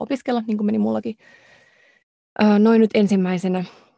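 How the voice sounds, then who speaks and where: A woman speaks at a fairly quick pace with vocal fry and a dark, mellow tone. The recording is very clean with a silent background, and the sound is dry and close with no echo. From Finland. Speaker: podcast co-host, doctoral student. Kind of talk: casual chat. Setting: recording booth.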